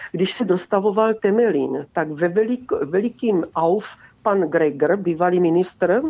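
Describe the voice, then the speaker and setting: A woman with a dark, mellow tone speaks at a fairly slow pace with lively intonation against a quiet background. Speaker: caller. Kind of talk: call-in comment. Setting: phone call.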